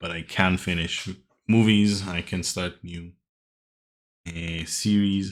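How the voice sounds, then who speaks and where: The speaker mumbles. The recording is very clean, with a silent background. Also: man. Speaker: language teacher YouTuber. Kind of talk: vocabulary tutorial. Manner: mumbling.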